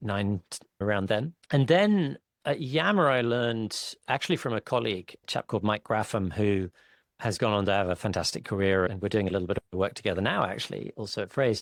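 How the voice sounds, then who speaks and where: A man talks with a normal speaking voice, fairly low in pitch with ordinary pitch variation. It is a very clean recording with a silent background. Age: 40s. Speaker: tech company CEO. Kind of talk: podcast interview.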